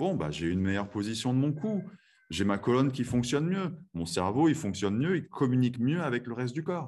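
In a calm tone, a man at medium pitch speaks at a fairly quick pace with very wide pitch swings, set against a quiet background. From France (moved from Texas at age 7). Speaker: chiropractor. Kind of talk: interview; guided breathing exercise.

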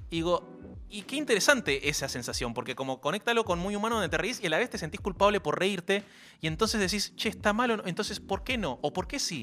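A man speaks at a very fast pace in a raised, projected voice. His pitch is high and makes very wide swings. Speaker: radio host. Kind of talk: casual chat.

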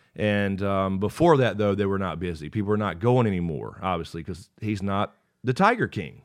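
Against a quiet background, a man with a plain, everyday voice speaks at a moderate pace, his pitch fairly low with ordinary variation. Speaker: podcast co-host. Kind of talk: casual chat.

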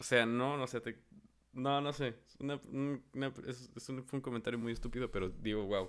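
An unremarkable speaking voice from a man, medium in pitch, fairly quick, with fairly even intonation. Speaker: podcast host. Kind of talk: casual chat.

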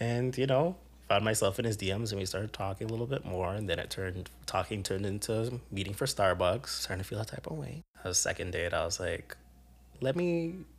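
In a very clean recording with a silent background, a man at medium pitch speaks with lively intonation and a somewhat breathy voice. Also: fairly quick pace. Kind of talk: casual chat.

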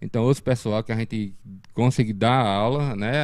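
Speaking at a moderate pace, a man with a medium pitch and ordinary pitch variation comes through in a very clean recording against a silent background. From Brazil, Pernambuco sertão (Sertânia area). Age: 40s. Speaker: martial arts instructor. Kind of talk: casual interview. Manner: halting, many fillers and repetitions.

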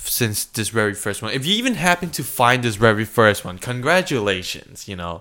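Bright and sharp in tone, a man speaks at a fairly quick pace with lively intonation and an animated delivery. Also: medium pitch for a man, hardly any pauses. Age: 20s. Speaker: podcast co-host. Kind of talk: casual chat. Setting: bathroom recording.

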